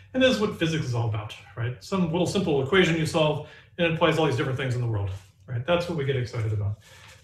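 Talking very fast, a man swings his pitch very widely while the room echo is audible. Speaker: physics professor; physics lecturer. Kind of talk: lecture. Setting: recorded lecture with demonstrations. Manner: casual, humorous. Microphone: camera far.

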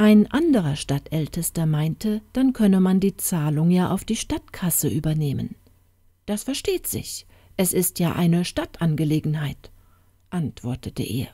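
A woman speaks at a fairly slow pace in a calm, soothing tone that is dark and mellow. Her fairly low, somewhat breathy voice has lively intonation. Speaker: audiobook narrator. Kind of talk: fairy tale narration, reading aloud. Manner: storytelling, slow and calm, soothing.

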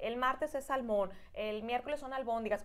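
Speaking at a fairly quick pace, a woman uses a high pitch with ordinary variation. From Nayarit, Mexico. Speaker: guest. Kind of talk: casual interview chat. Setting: studio. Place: studio. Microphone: lapel.

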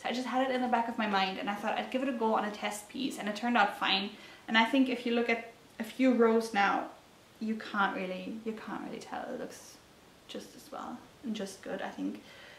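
A woman's fairly high voice in a German accent, fairly quick and fairly even in intonation, with big swings in loudness, audible room echo and light background noise. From Germany. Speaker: knitting podcaster. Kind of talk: casual solo vlog talk. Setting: talking to a camera at home. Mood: calm, friendly. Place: home room.

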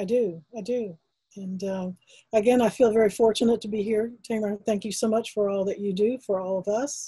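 In a Texas accent, a woman speaks at a fairly quick pace and a fairly high pitch, somewhat breathy and dark, mellow in tone, with fairly even intonation against a quiet background. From Texas, Austin. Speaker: fine artist and art educator; interviewee. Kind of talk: interview. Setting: video call. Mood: warm, grateful. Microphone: webcam.

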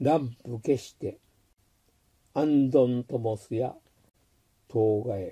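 With a dark, mellow tone and a somewhat breathy sound, a man speaks very slowly with fairly even intonation, big swings in loudness and long, frequent pauses. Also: medium pitch for a man. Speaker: amateur haiku reader. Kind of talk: poetry reading.

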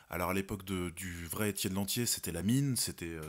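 A man talks in a plain, everyday voice with a fairly low pitch and ordinary pitch variation, at a moderate pace. The recording is very clean, with a silent background. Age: 30s. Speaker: actor and director. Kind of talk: interview.

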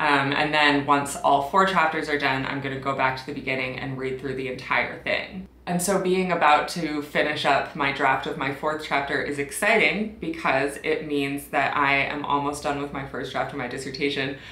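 A woman talks with hardly any pauses in a very deep, low voice. Room echo can be heard. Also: fairly even intonation, moderate pace. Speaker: PhD student vlogger. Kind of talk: casual vlog chat. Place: home room.

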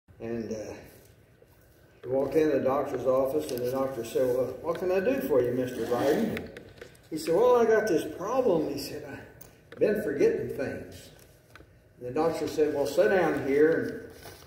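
A man with a fairly high pitch speaks at a moderate pace, making very wide pitch swings and long, frequent pauses. Light background noise and audible room echo can be heard. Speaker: pastor. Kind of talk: sermon. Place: church. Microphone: camera far.

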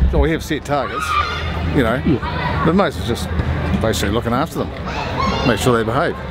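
A man talking at a very fast pace over music in the background. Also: dry sound with no echo. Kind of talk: interview answer while walking. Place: street. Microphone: camera far.

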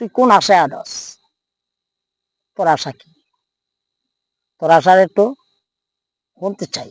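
A man's put-on character voice, high-pitched and fairly bright, with lively intonation at a fairly slow pace, dry and close with no echo

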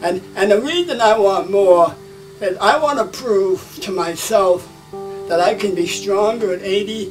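A high-pitched man's voice over faint music in the background. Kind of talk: interview answer. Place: gym.

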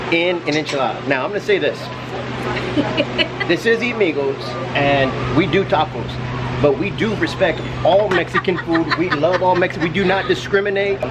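Through loud background noise, a man talks at a moderate pace, taking long, frequent pauses. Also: ordinary pitch variation. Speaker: food vlogger host. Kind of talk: casual vlog chat. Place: cafe. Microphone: phone near.

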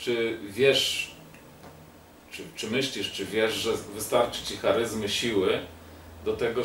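A man speaks at a very slow pace amid light background noise and audible room echo. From Poland. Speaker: political talk show host. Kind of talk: casual interview. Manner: halting. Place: home room. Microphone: camera far.

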